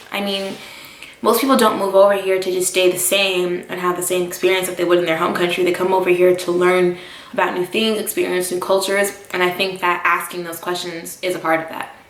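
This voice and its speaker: A woman's medium-pitched voice with an American accent, fairly quick and monotone, flat in intonation, amid audible room echo and noticeable background noise. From United States. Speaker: vlogger and expat English teacher. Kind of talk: casual vlog talk to camera. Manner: conversational with many fillers.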